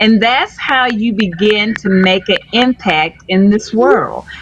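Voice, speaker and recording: Over noticeable background noise, a woman with a fairly high pitch speaks fairly slowly, her intonation lively. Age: 60s. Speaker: storyteller. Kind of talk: interview.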